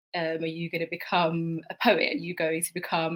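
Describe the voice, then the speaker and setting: A woman's fairly low, bright, sharp voice with a British accent at a moderate pace. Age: young. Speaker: teacher. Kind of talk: panel talk.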